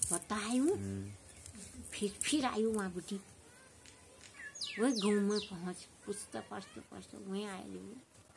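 A woman speaks very slowly in a Pahari accent. Noticeable background noise runs behind her. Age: old. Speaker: village storyteller. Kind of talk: folk storytelling. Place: open country.

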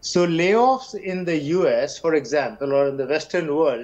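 At a moderate pace, a man talks in a high pitch. His voice makes very wide pitch swings. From India. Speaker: economist. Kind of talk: panel discussion. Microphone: video call.

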